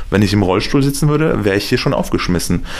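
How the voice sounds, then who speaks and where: A man is speaking in a room with audible echo. Background noise is noticeable. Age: 30s. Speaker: radio reporter. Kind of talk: interview. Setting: at the guest's home. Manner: animated.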